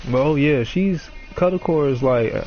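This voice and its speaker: There is music in the background. Words come at a moderate pace, and pitch varies in an ordinary way. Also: man. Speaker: gaming streamer. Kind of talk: casual chat.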